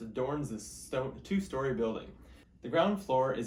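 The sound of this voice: Intonation rises and falls in a lively way in this unforced reading voice.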